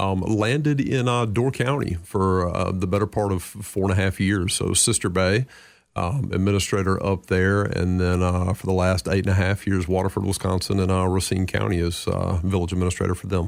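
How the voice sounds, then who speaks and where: Speaking in a Southern US accent, a man with a very deep, low pitch moves at a fairly quick pace with hardly any pauses, fairly even intonation and very even loudness. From North Carolina, US South. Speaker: city manager. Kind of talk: radio interview. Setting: radio studio.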